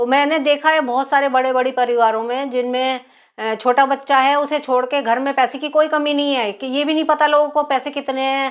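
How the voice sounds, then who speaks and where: Her pitch is high and her intonation monotone and flat. The woman keeps a moderate pace. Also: very clean recording, silent background. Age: 60s. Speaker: politician. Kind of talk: interview.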